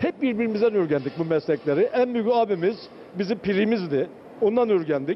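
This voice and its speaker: Lively in intonation, a man talks at a moderate pace with light background noise. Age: 70s. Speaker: volunteer cook. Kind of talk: interview answer. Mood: heartfelt, proud, emotional. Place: kitchen. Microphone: handheld.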